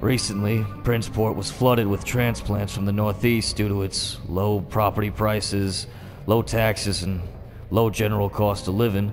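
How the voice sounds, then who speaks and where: In a gruff, put-on character voice, someone speaks at a moderate pace over clear background noise. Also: man, fairly low pitch for a man. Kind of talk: analog horror case log. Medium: voice reel. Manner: gruff, sardonic, profane.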